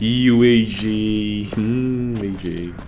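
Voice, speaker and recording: Clear background noise sits behind a man's voice. His pitch is fairly low and his intonation fairly even. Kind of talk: casual let's-play commentary. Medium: game stream.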